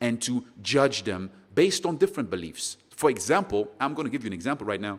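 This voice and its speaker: A man with a slight non-native accent, medium-pitched and moderately paced, on a very clean recording with a silent background. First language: not English. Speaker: podcast host. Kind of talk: solo motivational podcast talk. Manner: conversational, unscripted.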